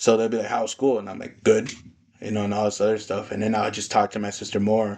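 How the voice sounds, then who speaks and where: Delivered very fast in a Spanish accent, the speech has monotone, flat intonation and big swings in loudness. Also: man, fairly low pitch for a man. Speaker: podcast host. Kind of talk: casual chat.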